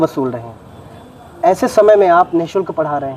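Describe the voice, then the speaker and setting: Background noise is noticeable behind this man's voice. He has a high pitch and lively intonation. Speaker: interviewer, channel host. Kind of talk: interview questions.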